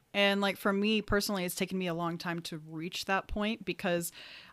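In a very clean recording with a silent background, a woman talks at medium pitch with fairly even intonation. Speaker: podcast host. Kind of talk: casual chat. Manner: quiet.

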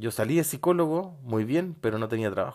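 Someone with a Chilean accent talks at a fairly quick pace with lively intonation on a very clean recording with a silent background. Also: man. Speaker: podcast host, psychologist. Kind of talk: motivational monologue.

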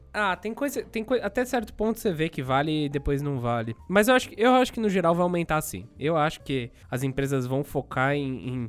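With music in the background, a man with a fairly high pitch talks at a moderate pace with hardly any pauses and very wide pitch swings. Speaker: tech podcast host. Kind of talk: casual chat.

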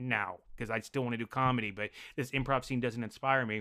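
In an American accent, a man with a bright, sharp tone rattles along at a very fast pace in a dry, close sound with no echo. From Denver, Colorado. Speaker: improv comedian and actor. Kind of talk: casual chat. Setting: video call.

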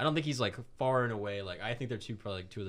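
Speaking at a very fast pace, a man talks with a Florida accent. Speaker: podcast co-host. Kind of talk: casual chat.

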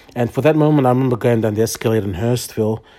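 Dark and mellow in tone, a man speaks with an Australian accent. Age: 30s. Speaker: podcast host and church youth leader. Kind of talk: personal testimony. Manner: halting, many fillers.

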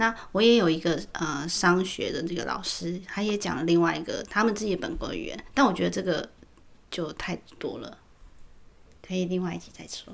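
A woman with a fairly low pitch and vocal fry talks at a moderate pace, with ordinary pitch variation and big swings in loudness. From Taiwan. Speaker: podcast co-host. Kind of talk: casual chat.

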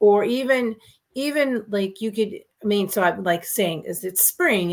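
A woman talks at a fairly slow pace in an unremarkable speaking voice. Her pitch sits in the medium range. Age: 50s. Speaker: real estate entrepreneur and author. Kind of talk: casual interview chat.

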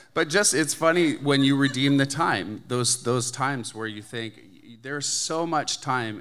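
A man speaks with a Canadian accent at a fairly slow pace. His pitch is medium, with ordinary pitch variation. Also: big swings in loudness. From Canada. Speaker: church member giving testimony. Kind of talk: testimony.

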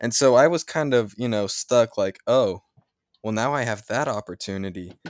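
Very clean recording of a man, silent background, dry, close sound with no echo. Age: young. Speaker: podcast co-host. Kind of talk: casual chat.

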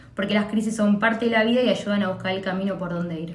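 Amid audible room echo, a woman speaks at a fairly high pitch with fairly even intonation. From Argentina, Buenos Aires province (Pilar). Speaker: podcast co-host. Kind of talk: casual chat.

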